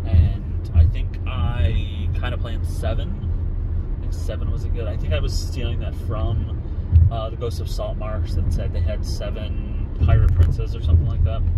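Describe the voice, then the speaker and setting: Through loud background noise, a man speaks at a moderate pace with ordinary pitch variation. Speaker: vlogger. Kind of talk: casual vlog chat. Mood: relaxed, musing. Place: car. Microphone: phone near.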